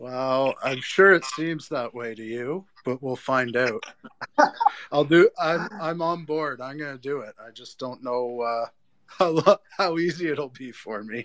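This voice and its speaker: A man with a plain, everyday voice speaks at a fairly slow pace and fairly high pitch. His loudness swings widely, while his pitch varies in an ordinary way. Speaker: parent and new crypto investor. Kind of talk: casual chat. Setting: live audio room online.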